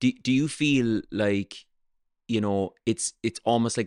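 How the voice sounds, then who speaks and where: A man with a Cork accent and fairly even intonation, in a dry, close sound with no echo against a quiet background. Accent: Irish, Cork. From south of Ireland. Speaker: podcast host and comedian. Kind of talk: casual interview chat. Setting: cafe restaurant in Cork.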